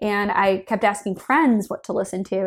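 Her voice at a medium pitch, the woman talks with an American accent. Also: very clean recording, silent background. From Minnesota. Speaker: tech founder and developer. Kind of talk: interview. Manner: hesitant with many fillers.

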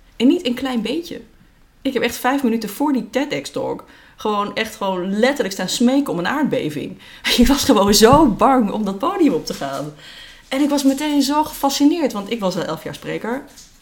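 At a moderate pace, a woman with a high pitch is heard over noticeable background noise. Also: lively intonation. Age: 40s. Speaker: creativity trainer and entrepreneur. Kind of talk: interview. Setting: at a kitchen table in a private home. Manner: halting, many fillers.

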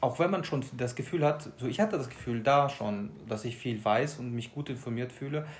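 There's audible room echo around a man speaking at a moderate pace. His voice is medium in pitch and somewhat breathy. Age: 30s. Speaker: new father. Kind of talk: casual interview. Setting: sitting next to host. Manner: halting.

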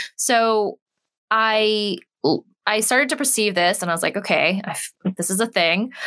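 A woman with an American accent has a bright, sharp tone. She leaves long, frequent pauses. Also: fairly high pitch for a woman, ordinary pitch variation, fairly slow pace. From California. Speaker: advertising strategist and platform founder. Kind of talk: interview. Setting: studio.

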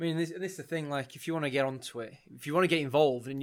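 A man with a Yorkshire accent talks at a very fast pace with fairly even intonation. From northern England, Leeds. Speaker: podcast co-host, amateur rugby organiser. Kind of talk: casual chat.

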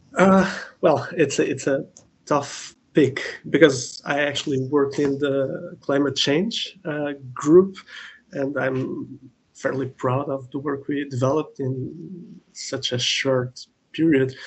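A man with a Portuguese accent speaks very slowly in a fairly high, somewhat breathy voice with fairly even intonation. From Portugal. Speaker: medical doctor, event participant. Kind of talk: interview.

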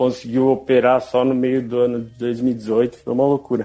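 A man speaks at a medium pitch in a dark, mellow tone. His pace is fairly slow and his intonation monotone and flat. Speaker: women's flag football team staff. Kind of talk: casual sports chat.

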